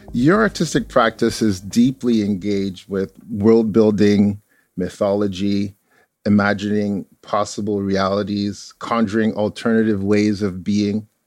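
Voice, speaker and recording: In a very clean recording with a silent background, the voice moves at a fairly slow pace with monotone, flat intonation. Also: man, fairly low pitch for a man. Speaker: podcast host. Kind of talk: interview.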